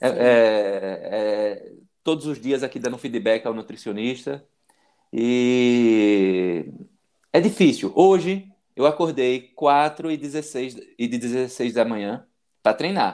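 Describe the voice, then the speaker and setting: A man speaks at a very slow pace with medium pitch. His intonation is lively. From Bahia interior, Brazil. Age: 40s. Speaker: medical student and para-cyclist. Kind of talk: interview testimony. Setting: live video stream.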